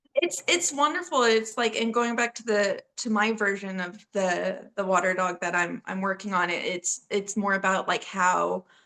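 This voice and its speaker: Speaking with a Texas accent, a woman with a medium pitch and a bright, sharp tone keeps a moderate pace with ordinary pitch variation and hardly any pauses. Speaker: horror author. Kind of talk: interview. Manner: animated; halting, many fillers.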